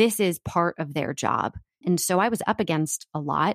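In an American accent, this is a normal speaking voice with lively intonation. The sound is dry and close with no echo, and the recording is very clean with a silent background. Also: woman. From US East Coast. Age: 30s. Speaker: entrepreneur and author. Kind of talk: interview.

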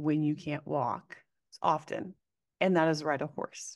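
A woman with a normal speaking voice and an American accent speaks at a fairly low pitch. She goes at a fairly slow pace against a quiet background. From Oregon, US Pacific Northwest. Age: 30s. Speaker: western media entrepreneur and former ag reporter. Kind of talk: casual interview chat.

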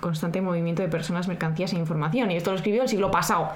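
With fairly even intonation, a woman's medium-pitched voice comes through audible room echo and noticeable background noise. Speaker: podcast co-host. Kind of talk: casual chat with scripted segments.

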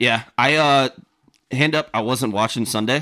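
A man with a Southern US accent speaks fairly slowly at a medium pitch in a bright, sharp tone, his pitch varying normally on a very clean recording with a silent background. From Savannah, Georgia. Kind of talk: casual chat. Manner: animated.

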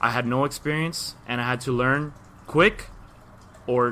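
In a Miami accent, a man talks at a moderate pace with a bright, sharp tone. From Miami, Florida. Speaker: podcast guest. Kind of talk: casual chat. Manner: animated.

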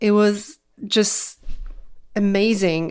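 A woman speaks at a medium pitch in a Polish accent. The recording is very clean, with a silent background. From Poland. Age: 40s. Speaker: weight loss coach and nurse. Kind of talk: podcast monologue.

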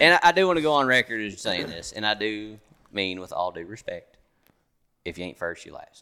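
Fairly quick speech from a man with a Kentucky accent, fairly low in pitch yet bright and sharp in tone, with very wide pitch swings and big shifts in loudness. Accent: Kentucky Southern. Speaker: hunter. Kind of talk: casual chat. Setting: hunting lodge in Kentucky.

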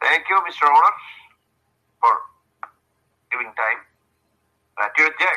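A man speaks at a fairly high pitch with a bright, sharp tone, vocal fry and lively intonation. Long pauses come often. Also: moderate pace. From Bangladesh. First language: Bengali. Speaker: English learner. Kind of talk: casual chat. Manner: halting.

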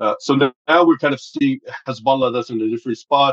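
With a Lebanese accent, a man talks at a fairly quick pace with fairly even intonation. The sound is dry and close, with no echo. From Lebanon. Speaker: think tank director and Middle East analyst. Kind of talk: expert analysis in interview.

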